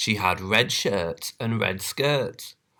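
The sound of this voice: In an unforced reading voice, the speaker's intonation is lively.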